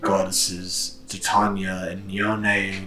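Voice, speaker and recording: A man talks in a put-on character voice at a very slow pace. Background noise is clearly audible. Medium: actual play. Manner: easygoing, helpful.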